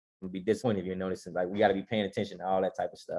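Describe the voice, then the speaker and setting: A man with a fairly low pitch speaks in an energetic tone against a quiet background. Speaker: stock trading educator, co-host. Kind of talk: stock market analysis show. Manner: fast; casual, energetic.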